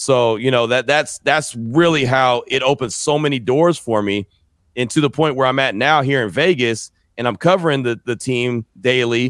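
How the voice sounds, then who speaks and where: A man with an American accent and an unremarkable speaking voice talks at a medium pitch and moderate pace with ordinary pitch variation, in a dry, close sound with no echo. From San Francisco Bay Area, California. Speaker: sports radio and podcast host. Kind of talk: interview.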